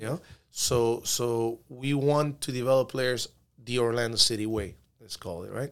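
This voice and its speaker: A man's medium-pitched voice in a Spanish accent, with fairly even intonation, big swings in loudness and a moderate pace. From Peru, moved to Miami at 12. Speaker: youth soccer coach. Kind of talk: casual interview chat.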